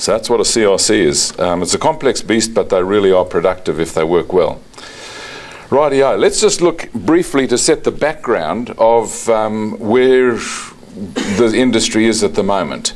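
A man talks at a fairly slow pace with very even loudness. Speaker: agricultural scientist. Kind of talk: lecture. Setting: lecture with slides. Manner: hesitant, many fillers. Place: hall. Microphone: podium.

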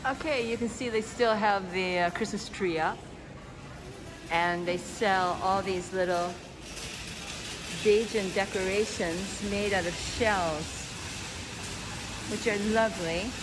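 Very slow speech full of long, frequent pauses over noticeable background noise. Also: woman. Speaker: travel vlogger. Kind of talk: casual vlog narration. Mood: relaxed, a bit wistful. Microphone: phone near.

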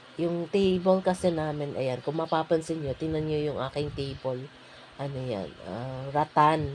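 A woman talks fairly slowly in a very deep, low pitch. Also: ordinary pitch variation. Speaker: vlogger. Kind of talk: voice-over tutorial. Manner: casual, hesitant with fillers.

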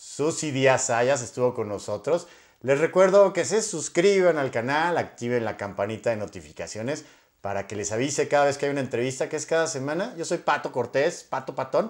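Over a quiet background, a man talks with lively intonation. His pace is moderate. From Mexico. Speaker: YouTube interviewer. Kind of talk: interview. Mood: friendly, upbeat. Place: home room. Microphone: lapel.

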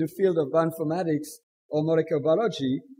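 In a French accent, a man talks at a very fast pace. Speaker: session chair. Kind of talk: speaker introduction. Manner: halting.

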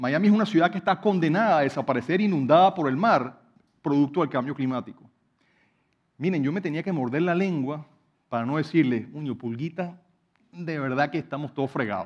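In a quiet background, a man's speech moves fairly quickly. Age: 40s. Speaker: hydrologist and professor; professor. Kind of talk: prepared talk to an audience. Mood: personal, reflective, some humour. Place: stage. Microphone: headset.

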